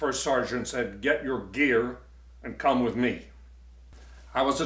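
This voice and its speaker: There is audible room echo. The delivery keeps a moderate pace. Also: man. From US South, Virginia. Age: 80s+. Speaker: war veteran. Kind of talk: testimony.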